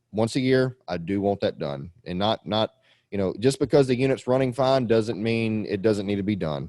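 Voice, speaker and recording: A man's fairly low, dark and mellow voice with lively intonation, dry and close with no echo, in a very clean recording with a silent background. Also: moderate pace. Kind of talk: casual, instructional.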